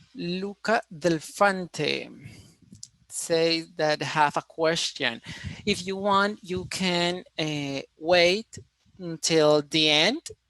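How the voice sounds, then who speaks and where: With a Colombian accent, a man speaks at a very slow pace in a high-pitched, bright, sharp tone, recorded dry and close with no echo. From Colombia, Cali. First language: Spanish. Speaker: engineering student presenter. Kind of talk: online conference presentation. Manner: halting, with many fillers.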